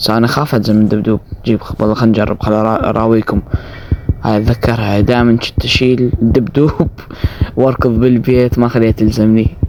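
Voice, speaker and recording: A man speaks at medium pitch and a moderate pace, flat and monotone in intonation. His loudness stays very even while noticeable background noise runs underneath. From Iraq. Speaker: gaming streamer. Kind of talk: gameplay commentary.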